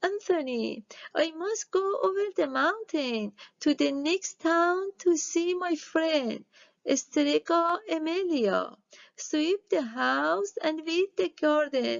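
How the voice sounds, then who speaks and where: A woman uses a put-on character voice, extremely high in pitch, and delivers it at a very slow pace. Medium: read story.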